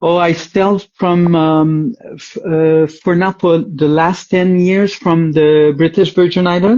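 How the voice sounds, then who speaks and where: With a Quebec accent, the speaker talks very slowly with hardly any pauses. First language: French. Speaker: dating show guest. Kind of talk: casual interview. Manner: halting.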